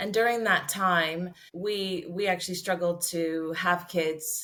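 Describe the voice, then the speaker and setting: In a Canadian accent, a woman speaks at a very slow pace with a fairly low pitch. Her tone is bright and sharp, her intonation monotone and flat. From Canada. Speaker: podcast guest, mother. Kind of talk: interview, personal story. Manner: hesitant, many fillers and repeats.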